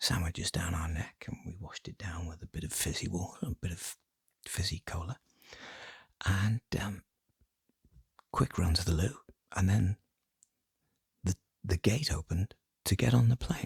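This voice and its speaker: A soft-spoken delivery at a moderate pace, with long, frequent pauses. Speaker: ASMR creator. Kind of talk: casual talk to camera, ASMR ramble.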